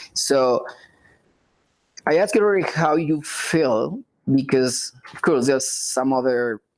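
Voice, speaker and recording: Speaking with a Spanish accent at a fairly slow pace, this voice leaves long, frequent pauses. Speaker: live show host. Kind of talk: casual interview. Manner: halting, many fillers.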